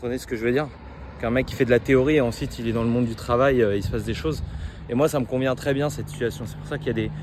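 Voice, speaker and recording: The speech moves at a very fast pace with noticeable background noise behind it. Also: man. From France. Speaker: medical student vlogger. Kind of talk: spontaneous vlog monologue. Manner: halting, many repetitions and fillers.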